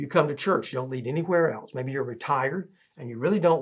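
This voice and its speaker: With ordinary pitch variation, a man speaks in a somewhat breathy tone. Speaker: church teacher. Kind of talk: lecture. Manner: fast.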